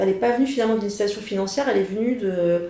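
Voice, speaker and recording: A woman's medium-pitched voice, with ordinary pitch variation, comes through audible room echo and noticeable background noise. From France, Saint-Étienne. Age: 40s. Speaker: journalist and author. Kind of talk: personal testimony interview. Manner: halting, many hesitations and repetitions.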